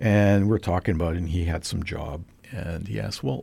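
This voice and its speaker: The voice has vocal fry and a Canadian accent at a moderate pace. The recording is very clean, with a silent background. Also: man. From Canada, British Columbia (Trail, West Kootenays). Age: 50s. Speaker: physicist. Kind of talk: casual interview.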